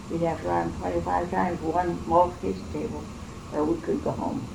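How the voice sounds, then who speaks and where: Someone with an American accent talks at a very fast pace with very wide pitch swings, with audible room echo and noticeable background noise in the recording. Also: woman. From central Illinois. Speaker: oral history interviewee. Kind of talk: oral history interview. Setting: at home.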